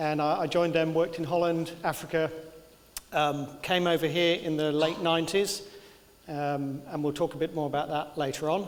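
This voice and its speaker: With a Birmingham accent, a man speaks at a moderate pace in a fairly high, monotone voice with flat intonation, amid noticeable background noise and audible room echo. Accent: English, Birmingham area. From English Midlands, south of Birmingham. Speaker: engineering consultant. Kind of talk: lecture. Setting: lecture theatre with audience. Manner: halting with many fillers.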